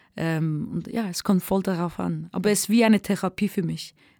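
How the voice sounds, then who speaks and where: Medium in pitch, a woman speaks at a moderate pace in a very clean recording with a silent background and a dry, close sound with no echo. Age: 20s. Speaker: singer and rapper. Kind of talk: interview. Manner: halting.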